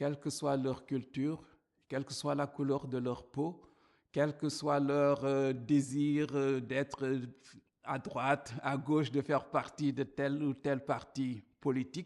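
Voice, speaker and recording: A man speaks at a very slow pace. His pitch is fairly high, and his intonation is monotone and flat. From Africa. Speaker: church minister. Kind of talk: testimony talk to camera.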